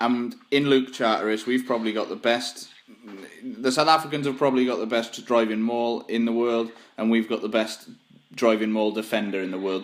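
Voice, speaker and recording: This man talks fairly quickly with a Welsh accent. His intonation stays fairly even. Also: medium pitch for a man. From Wales. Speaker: podcast host. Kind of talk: casual chat.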